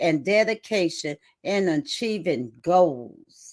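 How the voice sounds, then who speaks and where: A woman talks at a very slow pace in a Southern US accent. Her intonation is lively. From South Carolina. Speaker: co-host, network marketer. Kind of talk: live stream talk. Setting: livestream.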